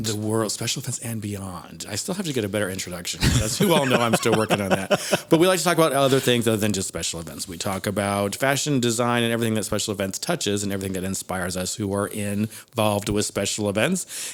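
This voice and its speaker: A man at a fairly low pitch talking at a very fast pace, with noticeable background noise. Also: lively intonation, hardly any pauses. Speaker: podcast host. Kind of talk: podcast conversation.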